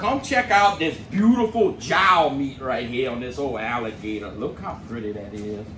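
A man talks at a fairly slow pace over light background noise. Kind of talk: casual cooking vlog chat. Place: garage. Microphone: camera far.

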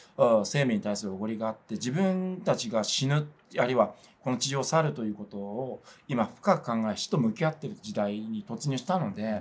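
With lively intonation, a man talks at a fairly quick pace. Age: 40s. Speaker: religious organization PR staffer; religious organisation spokesman. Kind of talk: interview. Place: studio.

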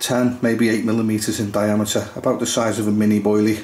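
Speaking at a fairly quick pace, a man uses a fairly low pitch with little pitch movement and a slightly mellow tone.

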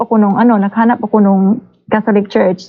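A woman speaks at a fairly quick pace. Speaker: caller. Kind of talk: casual chat. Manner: halting.

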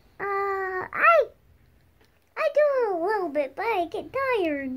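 A cartoonish character voice, female-sounding, at an extremely high pitch with very wide pitch swings and a fairly slow pace. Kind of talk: improvised puppet play. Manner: hesitant, playful.

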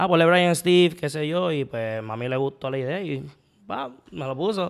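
In a quiet background, a man speaks in a fairly high voice with ordinary pitch variation. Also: moderate pace. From Puerto Rico, Santurce; Puerto Rico. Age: 20s. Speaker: comedian. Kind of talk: casual chat. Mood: playful, laughing. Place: home room. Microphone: studio mic.

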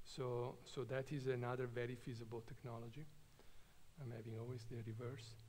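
Somewhat breathy, a man speaks at a moderate pace. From Italy, Trento; Italy. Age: 50s. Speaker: nuclear engineer; invited lecturer. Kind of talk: lecture. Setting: stage with audience. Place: hall. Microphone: podium.

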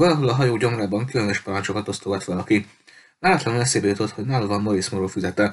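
The recording holds a natural reading voice. Pitch varies by an ordinary amount.

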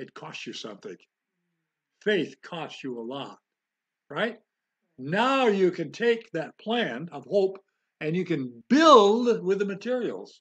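Against a quiet background, a man speaks very slowly in a high pitch. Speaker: home Bible teacher. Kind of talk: Bible teaching. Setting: home.

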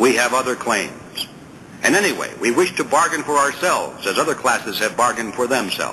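Over noticeable background noise, a man speaks at a fairly quick pace and a medium pitch, with ordinary pitch variation and very even loudness. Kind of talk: audiobook reading aloud of a political essay. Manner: formal, measured, steady reading pace; rhetorical, earnest, emphatic on questions and objections.

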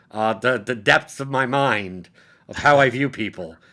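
With an American accent, a man talks at a fairly high pitch in a bright, sharp tone over a quiet background. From Brooklyn, New York; New York. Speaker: podcast host. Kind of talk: casual chat. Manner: animated. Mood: animated, amused storytelling. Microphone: webcam.

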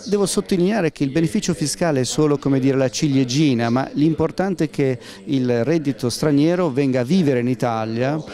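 Faint background noise sits under a man's dark, mellow voice as he talks at a fairly quick pace with ordinary pitch variation. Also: medium pitch for a man.

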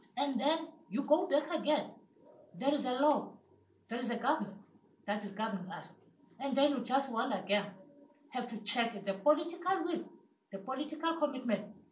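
A woman with a high pitch and lively intonation speaks at a fairly quick pace with long, frequent pauses, amid audible room echo and light background noise. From South Africa, Cape Town townships. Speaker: community health committee member. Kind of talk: impassioned audience comment. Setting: seminar room with audience. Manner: animated. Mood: earnest, passionate. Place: meeting room. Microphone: camera far.

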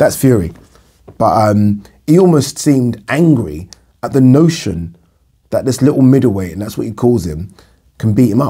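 A man speaks with very wide pitch swings and long, frequent pauses. The background is quiet. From UK. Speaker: boxing commentator vlogger. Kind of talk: casual monologue to camera. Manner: fast talker. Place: home room.

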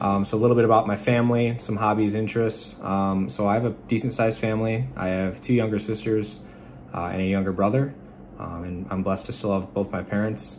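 A man's fairly low, fairly quick voice with an American accent, fairly even intonation, and light background noise. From Michigan. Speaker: student pilot and Navy veteran. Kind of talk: class self-introduction video. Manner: halting with frequent fillers. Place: home room. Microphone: phone near.

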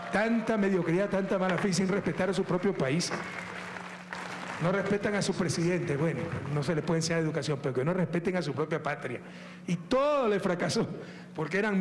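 A man talks at a moderate pace. Crowd noise fills the background. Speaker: politician addressing a crowd. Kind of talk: public speech. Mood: joking, laughing, mocking. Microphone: handheld.

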